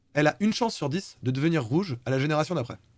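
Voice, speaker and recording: Speaking at a very fast pace, a man with a fairly high pitch uses lively intonation. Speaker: live streamer presenting programming project. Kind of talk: live-streamed talk presentation. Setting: live stream. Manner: casual, hesitant fillers.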